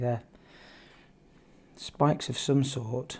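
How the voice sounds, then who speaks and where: Somewhat breathy, the voice carries a dark, mellow tone with ordinary pitch variation. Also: man. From UK. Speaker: art teacher. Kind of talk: tutorial. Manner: casual, hesitant with fillers.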